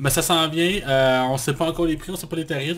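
A man talks at a fairly quick pace in a Quebec accent. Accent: Québécois French. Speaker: podcast co-host, film critic. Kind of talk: casual chat.

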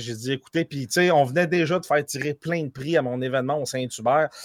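At a fairly quick pace, a man speaks in a fairly high voice with ordinary pitch variation. The sound is dry and close, with no echo. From France, raised in Quebec. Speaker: streamer. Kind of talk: casual chat.

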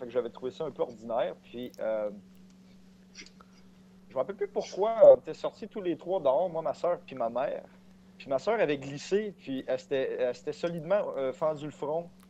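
A man's fairly high, dark, mellow voice at a moderate pace, with lively intonation and big swings in loudness. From Quebec, Saint-Ours near Sorel. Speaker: podcast guest. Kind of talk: casual chat. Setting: Facebook voice call.

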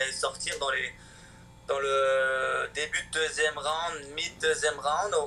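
The man's speech is very slow, and his loudness is very even. Noticeable background noise runs beneath it. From France (Chamonix) and Switzerland. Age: 20s. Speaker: professional hockey player. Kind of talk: interview. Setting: video call. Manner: halting, many repetitions.

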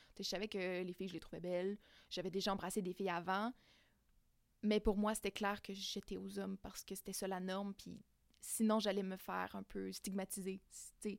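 Speaking with a Quebec accent in a medium pitch and a flat monotone, a woman leaves long, frequent pauses, recorded very cleanly against a silent background with a dry, close sound and no echo. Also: moderate pace. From Quebec, Abitibi-Témiscamingue. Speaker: queer guest sharing experience. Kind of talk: casual interview. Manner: halting, many fillers.

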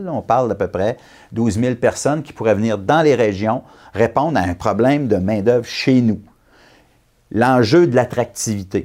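Pausing long and often, a man of medium pitch talks at a fairly slow pace with ordinary pitch variation. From Quebec, Abitibi. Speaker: election candidate. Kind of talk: political interview.

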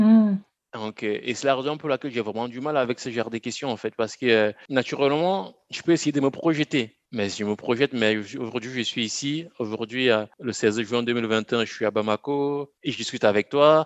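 At a moderate pace, a man speaks with a medium pitch and ordinary pitch variation, the sound dry and close with no echo. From Cameroon (Bafoussam, Central Africa). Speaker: agricultural education entrepreneur. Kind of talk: interview. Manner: halting, repeats words.

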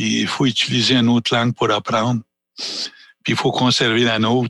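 A man at medium pitch with a Canadian accent, a bright, sharp tone and vocal fry, fairly slow and fairly even in intonation, in a dry, close sound with no echo. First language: Anishinaabe (speaking French). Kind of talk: panel discussion. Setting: small theatre.

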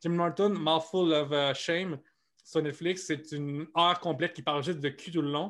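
A man talks with a fairly high pitch and fairly even intonation. The recording is very clean with a silent background. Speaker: comedian. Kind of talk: interview. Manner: fast.

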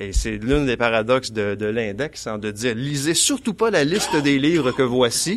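Here a man has a plain, everyday voice at a medium pitch. He speaks at a moderate pace with ordinary pitch variation. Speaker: author and college teacher. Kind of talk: panel discussion.

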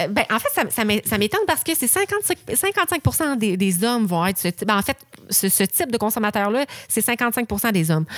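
Speaking at a moderate pace, a woman keeps her loudness very even while her pitch swings very widely. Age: 20s. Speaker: podcast co-host. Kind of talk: casual chat.

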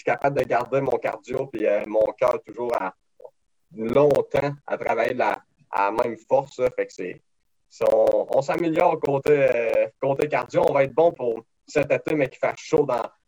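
The man talks at a fairly slow pace in a dry, close sound with no echo. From Quebec, Beauce region. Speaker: race car driver. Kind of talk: interview.

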